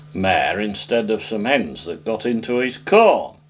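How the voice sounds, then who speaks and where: A man with a North Yorkshire accent talks at a fairly slow pace in a fairly low pitch. Noticeable background noise runs behind him. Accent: local North Yorkshire farming dialect. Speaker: folk singer and farmer. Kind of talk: interview. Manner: halting, with frequent fillers.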